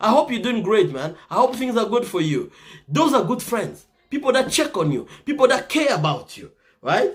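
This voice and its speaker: Animated and high-pitched, a man with a slight Congolese accent swings very widely in pitch. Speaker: motivational talk show host. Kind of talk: motivational talk.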